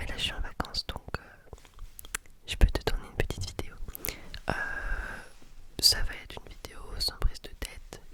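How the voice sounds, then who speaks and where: Whispering in a relaxed tone at a moderate pace, a woman takes long, frequent pauses, her loudness swinging widely over noticeable background noise. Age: 20s. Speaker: ASMR creator, dancer. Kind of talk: ASMR talking with triggers, casual chat to viewer. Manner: relaxed, chatty, soft-spoken.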